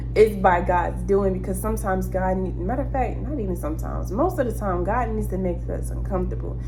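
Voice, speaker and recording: Music plays behind a woman with a very deep, low pitch. She speaks at a very fast pace with hardly any pauses. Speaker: prophetic word channel host. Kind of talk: prophetic message monologue. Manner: animated.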